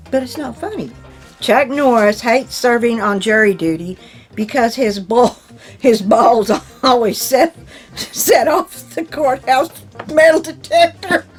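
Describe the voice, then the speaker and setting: With music in the background, a woman speaks fairly slowly at a high pitch, her voice making very wide pitch swings. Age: 60s. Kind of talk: reading jokes aloud with casual reactions to camera.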